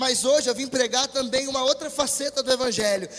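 Over noticeable background noise, the voice moves at a very fast pace in an animated tone. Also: man. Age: 20s. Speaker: preacher. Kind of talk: sermon. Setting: church with congregation, livestreamed.

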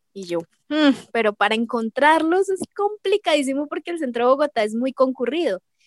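Dry and close with no echo, a woman's high-pitched voice moves at a moderate pace with lively intonation. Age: 20s. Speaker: K-pop fan. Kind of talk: casual interview.

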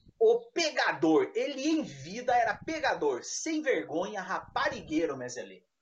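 A man speaks in an animated tone. He goes at a fairly slow pace with hardly any pauses. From interior of São Paulo state, Brazil. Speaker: tabletop RPG podcast co-host. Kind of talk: casual chat.

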